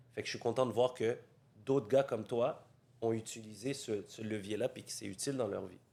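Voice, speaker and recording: The voice has a dark, mellow tone, fairly even intonation and big swings in loudness. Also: man, medium pitch for a man, fairly quick pace. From Montreal, Quebec (Saint-Léonard). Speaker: real estate coach, podcast host. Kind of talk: interview conversation.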